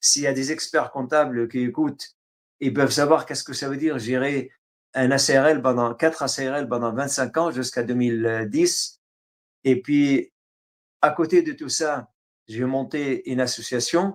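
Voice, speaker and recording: A man speaks with fairly even intonation, leaving long, frequent pauses. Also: fairly high pitch for a man, fairly slow pace. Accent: Arabic. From Syria. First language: Arabic (speaking French). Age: 60s. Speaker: writer. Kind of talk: interview. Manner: halting, many hesitations.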